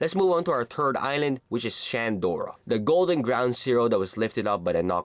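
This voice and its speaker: A man's animated tone with lively intonation, a non-native accent, and a moderate pace. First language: not English. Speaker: anime YouTuber. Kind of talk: casual commentary video.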